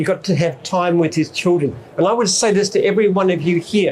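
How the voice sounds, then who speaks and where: Over noticeable background noise, a man with an Australian accent speaks at a high pitch with ordinary pitch variation. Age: 70s. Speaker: business founder and CEO. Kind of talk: speech to an expo audience.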